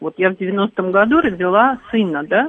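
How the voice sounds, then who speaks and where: Here is a woman with a plain, everyday voice. She talks at a fairly slow pace with ordinary pitch variation. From Crimea. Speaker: radio caller. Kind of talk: casual phone-in chat.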